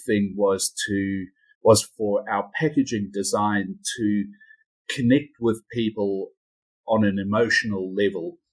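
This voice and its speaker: Speaking with a New Zealand accent, a man uses a fairly low pitch, fairly even intonation and a fairly slow pace on a very clean recording with a silent background. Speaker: company CEO. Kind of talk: interview. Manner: halting, repeats words.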